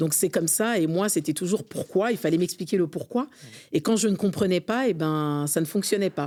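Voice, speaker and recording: A woman speaks at a fairly low pitch. Her tone is dark and mellow. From France, Montreuil, Seine-Saint-Denis. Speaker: community leader and consultant. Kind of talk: interview.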